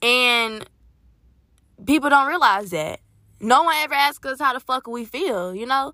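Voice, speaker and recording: A woman projects a raised voice at a high pitch, with a bright, sharp tone. She goes at a fairly slow pace, leaving long, frequent pauses. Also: lively intonation. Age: young. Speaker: podcast host. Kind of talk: casual monologue.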